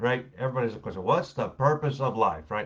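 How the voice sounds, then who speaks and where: A man talks at a very fast pace with vocal fry. His pitch sits in the medium range. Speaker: former pastor, online show co-host. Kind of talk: casual chat. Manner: animated.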